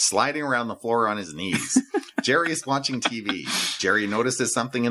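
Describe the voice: What you hear is a plain read-aloud passage.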